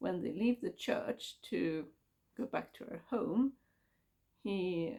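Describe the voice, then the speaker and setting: A woman's fairly high, dark, mellow voice with vocal fry, at a very slow pace. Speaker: book vlogger. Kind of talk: casual book review monologue. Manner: halting.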